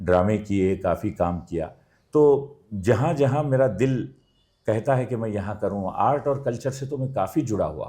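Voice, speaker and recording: Against a quiet background, a man speaks in an unremarkable speaking voice with ordinary pitch variation. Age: 60s. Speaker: theatre actor and architect. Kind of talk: interview.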